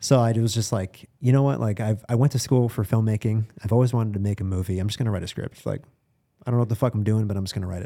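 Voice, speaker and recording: With an American accent, a man speaks at a very fast pace in a fairly low, dark, mellow tone with fairly even intonation, on a very clean recording with a silent background. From Boston, US Northeast. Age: 30s. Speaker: music and film producer. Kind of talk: casual chat. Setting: studio.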